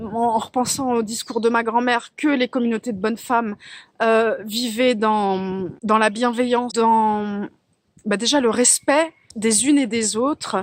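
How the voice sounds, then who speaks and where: A woman's fairly high voice, very slow, with fairly even intonation and a dry, close sound free of echo. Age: 40s. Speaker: life coach for mothers. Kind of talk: casual talk to camera.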